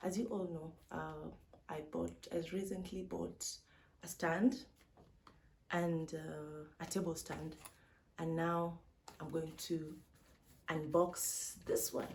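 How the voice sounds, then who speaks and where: The speech moves at a very slow pace, broken by long, frequent pauses. Audible room echo surrounds it. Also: woman, fairly low pitch for a woman. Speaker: vlogger. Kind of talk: unboxing vlog. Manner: animated.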